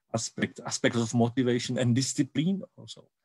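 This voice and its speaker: The voice carries a Czech accent with ordinary pitch variation at a moderate pace. The sound is dry and close, with no echo. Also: man. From Czech Republic. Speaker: university education researcher. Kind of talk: conference presentation. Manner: halting, many repetitions and fillers.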